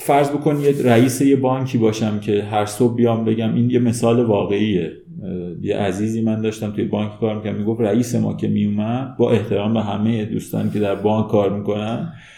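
A man's fairly low voice with fairly even intonation, plus audible room echo and noticeable background noise. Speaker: human resources manager. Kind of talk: interview.

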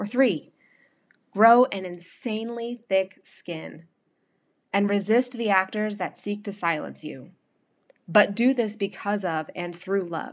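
With an American accent, a woman speaks at a very slow pace with long, frequent pauses and ordinary pitch variation on a very clean recording with a silent background. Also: medium pitch for a woman. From North Carolina. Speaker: podcast host and blogger. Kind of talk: scripted narration of a personal essay.

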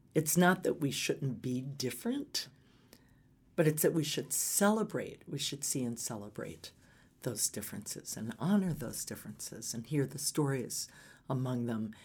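A woman with an American accent speaks at a moderate pace in a very deep, low pitch, her intonation lively and her voice somewhat breathy. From US South (Atlanta, Georgia). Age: 60s. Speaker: nonprofit foundation CEO. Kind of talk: interview.

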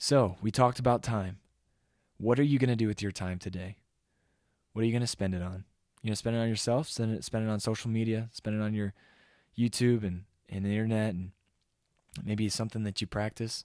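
A man's fairly low voice at a fairly quick pace, fairly even in intonation, with long, frequent pauses, in a very clean recording with a silent background and a dry, close sound free of echo. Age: 20s. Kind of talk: devotional sermon-style monologue.

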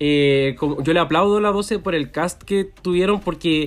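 A man with a Chilean accent speaks at a moderate pace with ordinary pitch variation. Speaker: podcast co-host. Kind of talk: casual chat.

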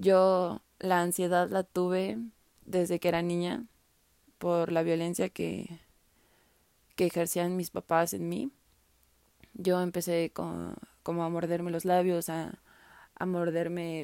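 With a Mexican accent, a woman speaks very slowly in a dark, mellow tone at a fairly low pitch, her intonation fairly even and her long pauses frequent. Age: 20s. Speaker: podcaster. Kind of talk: personal testimony. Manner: casual.

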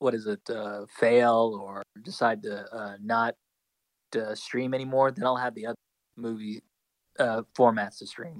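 Speaking at a very slow pace, a man keeps a medium pitch and fairly even intonation. The sound is dry and close, without echo. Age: 20s. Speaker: podcast co-host and school educator. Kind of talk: casual chat.

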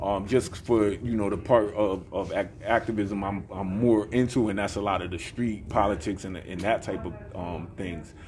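With an American accent, a man talks at a moderate pace with hardly any pauses, his fairly low pitch held in fairly even intonation over noticeable background noise. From Bridgeport, Connecticut. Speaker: hip hop recording artist and activist. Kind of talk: interview.

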